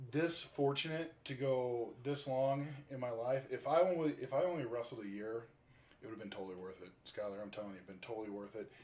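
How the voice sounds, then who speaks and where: A man with a plain, everyday voice at a medium pitch, talking at a fairly quick pace with lively intonation and big swings in loudness. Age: 40s. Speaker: professional wrestler. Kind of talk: casual interview.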